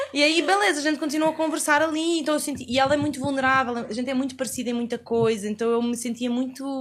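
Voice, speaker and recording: A woman talking very fast with a European Portuguese accent, over noticeable background noise. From Portugal. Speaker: podcast guest. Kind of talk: casual interview chat.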